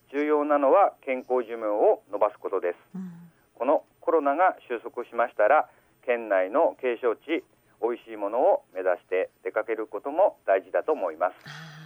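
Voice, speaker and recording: Using an unremarkable speaking voice, a man talks at a moderate pace with fairly high pitch, lively intonation and big swings in loudness. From Aomori, Shimokita (Higashidori). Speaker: village health official. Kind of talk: radio interview. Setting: phone call.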